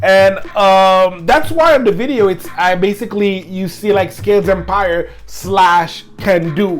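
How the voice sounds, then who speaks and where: A woman's medium-pitched voice with ordinary pitch variation, a fairly slow pace and hardly any pauses, over noticeable background noise. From Quebec. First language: French. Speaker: hip hop podcast host. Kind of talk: music review podcast. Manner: hesitant, many fillers.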